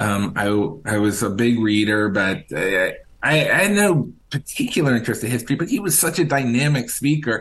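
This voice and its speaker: A man's medium-pitched voice with an American accent and very wide pitch swings. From Richmond, Virginia. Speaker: author and historian. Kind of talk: interview. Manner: hesitant, many fillers.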